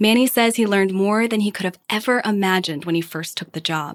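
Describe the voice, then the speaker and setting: In a very clean recording with a silent background, a woman talks at a fairly quick pace in an ordinary speaking voice with ordinary pitch variation. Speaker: podcast host narrator. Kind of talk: scripted narration.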